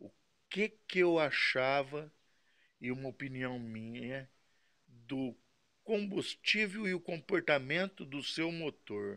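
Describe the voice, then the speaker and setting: With a bright, sharp tone and a fairly high pitch, a man talks at a very slow pace, leaving long, frequent pauses, his intonation lively and his loudness swinging widely. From Brazil. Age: 60s. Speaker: model engine mechanic. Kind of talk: casual video talk answering viewers. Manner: halting, repeats words. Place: workshop.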